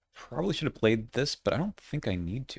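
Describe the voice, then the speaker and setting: A normal speaking voice at a fairly quick pace with lively intonation. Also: man. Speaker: board game content creator. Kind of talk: gameplay commentary.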